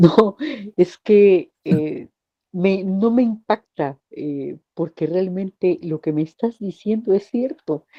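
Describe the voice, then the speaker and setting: Her delivery is very slow, and her intonation is lively. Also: medium pitch for a woman. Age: 60s. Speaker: group participant. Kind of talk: personal testimony. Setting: group call.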